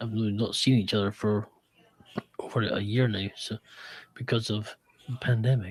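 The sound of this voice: A man speaks at a fairly slow pace in a medium pitch. His intonation is flat and monotone.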